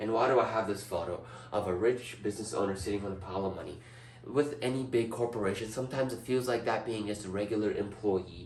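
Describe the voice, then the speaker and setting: Someone speaks at a very fast pace in an animated tone. Audible room echo and noticeable background noise surround the voice. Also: man, fairly low pitch for a man. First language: not English. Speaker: student. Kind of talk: class presentation. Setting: indoors presenting before a large TV screen.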